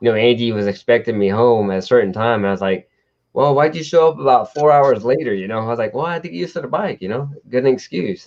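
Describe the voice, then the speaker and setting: With a Southern US accent, the speaker uses lively intonation. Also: man. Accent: Southern twang. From Texas, Houston. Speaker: motorcycle show host. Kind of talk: casual chat. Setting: live stream.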